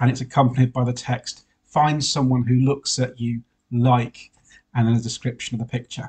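A somewhat breathy man at medium pitch, monotone and flat, at a moderate pace against a quiet background. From Wales. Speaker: priest. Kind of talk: sermon. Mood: warm, lightly humorous. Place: home room. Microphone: webcam.

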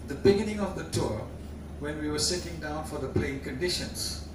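Audible room echo and noticeable background noise surround a man talking at a fairly quick pace. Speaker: guest. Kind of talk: after-dinner anecdote speech. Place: hall. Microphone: camera far.

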